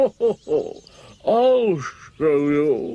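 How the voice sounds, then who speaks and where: A man uses a put-on character voice pitched high. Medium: short film. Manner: showy, mocking.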